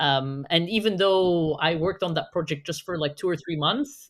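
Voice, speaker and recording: Lively intonation marks this woman's fairly low voice as she speaks at a moderate pace in an Arabic accent. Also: very clean recording, silent background. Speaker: digital marketing specialist. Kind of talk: podcast conversation.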